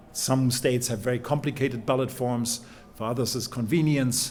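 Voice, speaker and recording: Audible room echo surrounds a man's medium-pitched voice as he speaks with monotone, flat intonation. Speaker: professor. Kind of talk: conference talk. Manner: fast.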